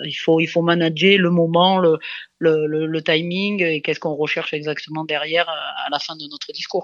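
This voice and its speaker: A woman's fairly low voice at a moderate pace, fairly even in intonation, over a quiet background. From France, Dordogne (southwest). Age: 30s. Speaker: rugby coach, former international player. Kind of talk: interview. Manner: halting, many repetitions and fillers.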